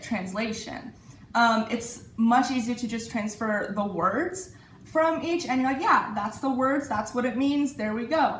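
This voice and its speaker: Over noticeable background noise and audible room echo, someone with an Iranian accent speaks at a moderate pace. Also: woman. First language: Farsi. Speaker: university student. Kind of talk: interview. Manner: hesitant, with many fillers.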